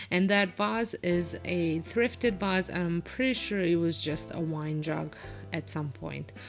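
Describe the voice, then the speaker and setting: Someone with a non-native accent speaks at a fairly slow pace with lively intonation. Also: woman. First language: not English. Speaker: home decor vlogger. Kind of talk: casual voiceover narration. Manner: hesitant, many fillers.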